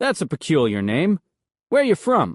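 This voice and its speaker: A man puts on a character voice with a high pitch and very wide pitch swings. He speaks at a moderate pace in a dry, close sound with no echo. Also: quiet background. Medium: read story. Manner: blunt, wisecracking.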